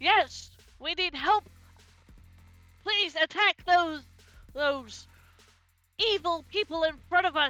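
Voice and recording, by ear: A woman does a put-on character voice, gruff and extremely high-pitched, at a fairly slow pace. Long, frequent pauses break up her lines while faint music plays in the background.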